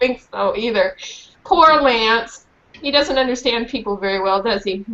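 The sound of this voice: The unforced reading voice here has lively intonation.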